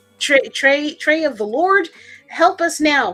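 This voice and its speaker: A woman talks at a moderate pace with lively intonation. There is noticeable background noise. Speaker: comic book talk show host. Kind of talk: casual livestream chat. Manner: animated.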